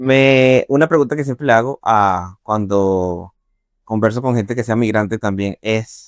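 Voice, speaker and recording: A man's ordinary speaking voice at medium pitch, fairly slow, with ordinary pitch variation and a dry, close sound with no echo. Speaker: podcast host. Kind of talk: podcast interview.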